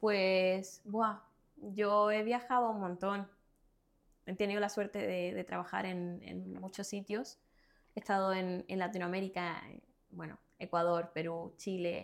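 A woman with a Cuban accent speaks at a medium pitch and a fairly slow pace, her intonation monotone and flat. The recording is very clean with a silent background. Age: 20s. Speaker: fashion model. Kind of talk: casual interview.

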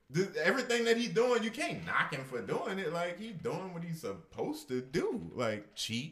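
The speaker has an American accent and a moderate pace, with hardly any pauses. Pitch swings very widely, over noticeable background noise. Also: man, high pitch for a man. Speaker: podcast co-host. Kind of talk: casual chat.

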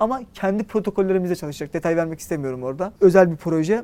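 Lively intonation runs through this man's speech. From Turkey, Istanbul. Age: 30s. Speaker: tech startup founder. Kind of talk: interview.

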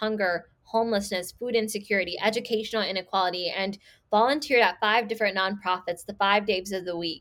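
A woman's medium-pitched voice with an American accent, fairly quick and fairly even in intonation, on a very clean recording with a silent background. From Chicago area, Illinois. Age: 20s. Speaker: local elected official. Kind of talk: interview conversation.

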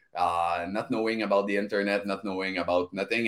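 An energetic, upbeat man with a French-Canadian accent. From Val d'Or, Quebec. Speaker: podcast guest.

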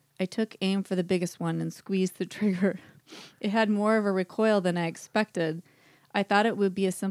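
An unforced reading voice carries fairly even intonation throughout.

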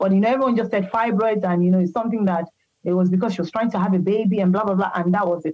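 A woman's medium-pitched voice at a very fast pace, with very even loudness and fairly even intonation. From Nigeria. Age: 40s. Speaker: patient sharing health story. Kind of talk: interview testimony. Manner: halting, many fillers.

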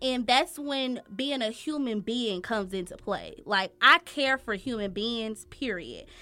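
A woman's bright, sharp, fairly high voice at a fairly slow pace, with ordinary pitch variation, in a very clean recording with a silent background. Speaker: hair and makeup artist. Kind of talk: casual chat.

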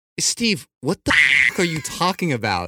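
A man's raised, projected voice, bright and sharp in tone, with lively intonation and a dry, close sound free of echo. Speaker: podcast co-host. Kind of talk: casual chat. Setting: studio. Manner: casual, plain-spoken.

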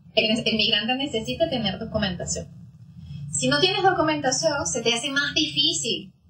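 Amid noticeable background noise and audible room echo, a woman speaks at a moderate pace, her fairly high pitch making very wide swings. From Venezuela. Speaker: psychologist. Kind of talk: interview.

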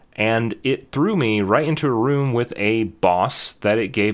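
On a very clean recording with a silent background, a man with a fairly low pitch and ordinary pitch variation speaks in a plain, everyday voice. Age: 30s. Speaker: podcast co-host. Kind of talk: casual chat.

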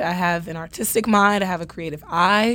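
An ordinary speaking voice, a woman with an American accent talks at a moderate pace with ordinary pitch variation. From New York City (Bronx). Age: young. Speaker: acting student. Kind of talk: casual interview.

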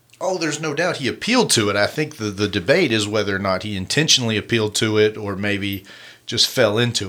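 Speaking very fast with an American accent, a man uses a bright, sharp, playful tone. His intonation is lively. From California. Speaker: podcast host. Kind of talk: casual chat. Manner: playful banter.

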